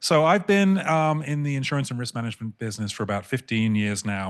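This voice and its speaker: A man with a British accent, ordinary pitch variation, against a quiet background. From England. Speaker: insurance broker. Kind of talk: panel discussion. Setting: panel event with in-person and online audience. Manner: fast when excited.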